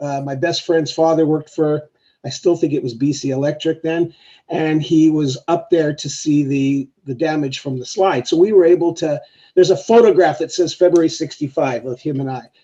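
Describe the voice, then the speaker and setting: At a moderate pace, a man speaks with a dark, mellow tone, a fairly high pitch and fairly even intonation. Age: 60s. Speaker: member of the public speaking at a hearing. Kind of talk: public hearing statement. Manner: halting.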